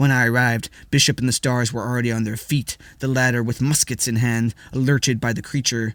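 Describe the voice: The delivery is plain reading aloud. Pitch stays fairly level across it.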